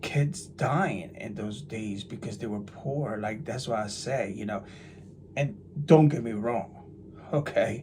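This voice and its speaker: A man with an American accent, somewhat breathy, with lively intonation at a fairly slow pace and audible room echo. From New Jersey, US. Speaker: religious YouTuber. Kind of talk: casual monologue. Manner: animated; halting.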